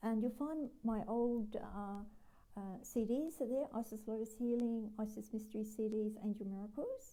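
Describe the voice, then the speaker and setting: Somewhat breathy and dark, mellow in tone, a woman with an Australian accent speaks at a moderate pace in a fairly high pitch with fairly even intonation. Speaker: spiritual healer and teacher. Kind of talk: live stream talk. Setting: live video stream. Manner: hesitant, many fillers; voice fades when channeling. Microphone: sometimes too quiet.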